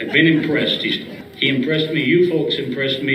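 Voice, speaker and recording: A man with an American accent speaks at a fairly quick pace and with fairly even intonation. There is noticeable background noise and audible room echo. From Michigan, US Midwest. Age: 80s+. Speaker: retired racing crew chief and car owner. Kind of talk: speech to an audience. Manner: halting, repeats words.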